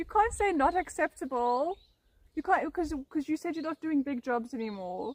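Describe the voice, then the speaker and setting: Animated and high-pitched, a woman with a South African accent speaks at a moderate pace with very wide pitch swings in a dry, close sound with no echo. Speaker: ASMR streamer. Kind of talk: casual chat.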